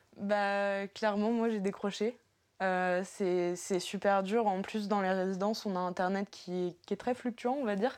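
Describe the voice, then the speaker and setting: A woman at medium pitch, speaking fairly slowly in a monotone, flat delivery. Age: 20s. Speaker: university student, volunteer. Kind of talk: interview. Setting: student dorm room. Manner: halting.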